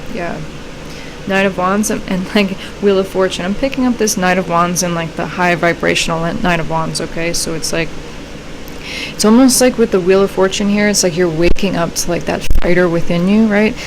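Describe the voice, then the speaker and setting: A woman speaks with a medium pitch and ordinary pitch variation amid audible room echo and noticeable background noise. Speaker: tarot reader. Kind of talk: tarot reading. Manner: fast; casual, filler-heavy.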